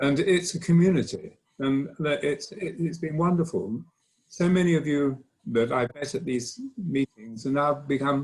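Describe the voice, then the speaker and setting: A somewhat breathy man with a fairly high pitch talks at a moderate pace. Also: ordinary pitch variation. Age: old. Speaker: acoustician. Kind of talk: round table remarks. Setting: conference round table.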